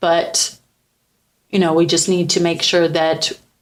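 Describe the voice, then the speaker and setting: Speaking at a fairly slow pace, a woman keeps a medium pitch and a monotone, flat intonation. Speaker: podcast host. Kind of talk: personal testimony in a faith podcast. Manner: casual, with many fillers and false starts.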